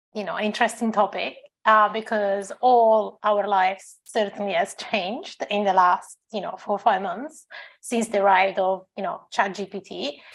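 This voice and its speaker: A woman speaks with a non-native accent at medium pitch. Her intonation is fairly even. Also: moderate pace. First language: not English. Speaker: tech company founder. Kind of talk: panel discussion.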